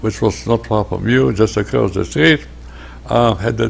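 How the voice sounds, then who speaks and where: There is noticeable background noise in this clip. A man with a very deep, low pitch speaks at a moderate pace. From Poland. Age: 90s. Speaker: Holocaust survivor. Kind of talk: interview. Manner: halting.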